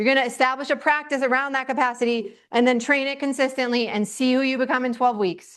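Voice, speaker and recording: A loud, animated woman with a high pitch, talking very fast with hardly any pauses against a quiet background. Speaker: teacher. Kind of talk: lecture.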